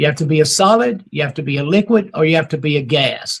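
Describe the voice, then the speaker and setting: A man speaks with a South Carolina accent. His pitch is fairly high. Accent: Southern US (South Carolina). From US South. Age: 70s. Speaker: near-death experience author and speaker. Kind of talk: podcast interview. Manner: animated, emphatic.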